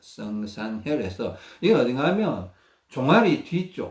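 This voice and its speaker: A man's somewhat breathy, medium-pitched voice, very slow, with very wide pitch swings and a Gyeongsang accent. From Gyeongsang region, South Korea. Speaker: health researcher sharing self-care methods. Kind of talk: instructional talk. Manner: halting, with many fillers.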